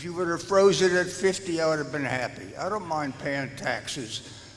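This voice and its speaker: A man's high voice, with ordinary pitch variation, comes through noticeable background noise. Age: 90s. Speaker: retired senior resident, public commenter. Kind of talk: public comment at board meeting.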